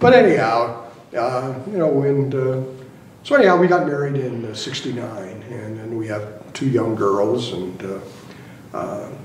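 A man talks at medium pitch and a fairly slow pace with ordinary pitch variation. The room echo is audible.

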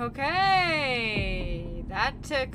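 Very slowly, a woman speaks.

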